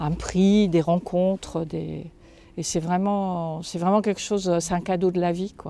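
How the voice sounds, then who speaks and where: With a dark, mellow tone, a woman speaks at a medium pitch in a monotone, flat intonation. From France, Lorraine (Moselle). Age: 60s. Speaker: writer. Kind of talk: interview. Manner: halting, frequent hesitations.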